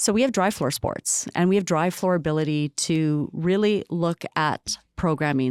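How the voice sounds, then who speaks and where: A woman's fairly low voice with ordinary pitch variation, dry and close with no echo, on a very clean recording with a silent background. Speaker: city recreation staff member. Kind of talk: podcast interview. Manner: fast.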